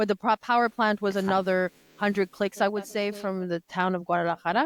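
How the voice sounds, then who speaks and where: A woman with a French accent talks at a fairly quick pace, in a dry, close sound with no echo. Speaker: conference interpreter. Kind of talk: podcast interview. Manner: halting, many false starts.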